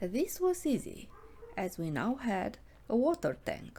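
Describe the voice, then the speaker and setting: A woman speaks at a fairly slow pace with vocal fry. Her tone is dark and mellow. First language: not English. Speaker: illustrator and comic artist. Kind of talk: narrated drawing walkthrough. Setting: home studio.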